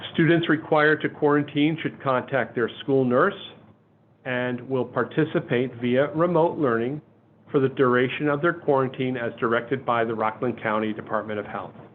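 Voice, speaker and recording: A man with an upstate New York accent, medium-pitched, at a moderate pace with ordinary pitch variation. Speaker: school superintendent. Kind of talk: webinar presentation. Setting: webinar.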